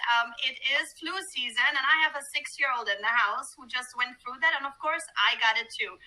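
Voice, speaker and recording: A raised, projected voice with a bright, sharp tone moves at a fairly quick pace with ordinary pitch variation. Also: woman, high pitch for a woman. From Germany and Greece. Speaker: cruise line sales manager. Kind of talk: webinar presentation.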